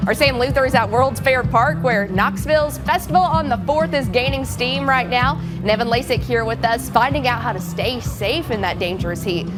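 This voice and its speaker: A woman with an American accent speaks at a moderate pace with hardly any pauses. Music plays in the background. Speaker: TV news anchor and reporter. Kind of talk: local TV news delivery. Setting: studio anchor desk.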